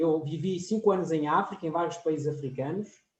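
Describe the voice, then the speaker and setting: A man with a high pitch speaks at a moderate pace, with audible room echo around him. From France and Portugal. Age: 40s. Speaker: professor. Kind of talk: lecture.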